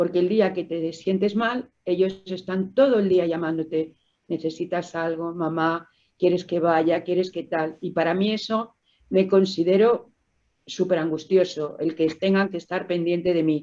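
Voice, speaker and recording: A woman talks fairly slowly in a fairly low pitch, her tone dark and mellow and her intonation fairly even. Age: 60s. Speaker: COPD patient, smoker. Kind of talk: testimony.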